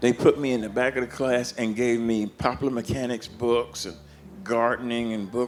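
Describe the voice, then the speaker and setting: A man with a Southern US accent and medium pitch, over noticeable background noise. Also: moderate pace. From US South (Georgia and Florida). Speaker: blues harmonica player. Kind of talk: interview storytelling. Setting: backstage at a festival. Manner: animated.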